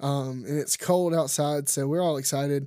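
On a very clean recording with a silent background, a man with a Louisiana accent speaks at a moderate pace, his fairly high pitch carrying a dark, mellow tone. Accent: Southern US (Louisiana). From Louisiana, US South. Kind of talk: casual monologue; testimony. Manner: animated, filler-heavy.

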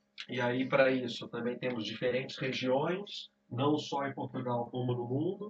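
At a fairly slow pace, a man with a Brazilian accent speaks at a medium pitch with ordinary pitch variation. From Brazil, Rio de Janeiro. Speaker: sommelier. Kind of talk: casual chat.

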